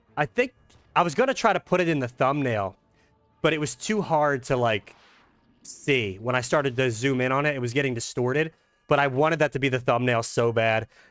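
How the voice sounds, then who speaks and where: The man's tone is animated, his pitch medium with ordinary variation. He talks at a fairly quick pace, and the sound is dry and close with no echo. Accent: Philadelphia. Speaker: gaming YouTuber. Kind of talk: gameplay commentary. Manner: casual, animated.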